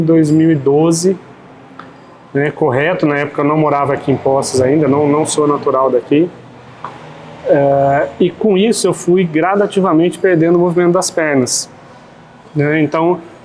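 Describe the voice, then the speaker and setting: Fairly even intonation and very even loudness over noticeable background noise. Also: man. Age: 40s. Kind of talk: podcast interview. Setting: café.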